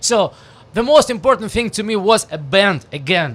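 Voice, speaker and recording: A man speaks at a moderate pace with a strong Russian accent. His pitch varies in an ordinary way. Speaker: rock musician, band frontman. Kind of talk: radio interview. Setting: radio studio. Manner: halting, many fillers and restarts.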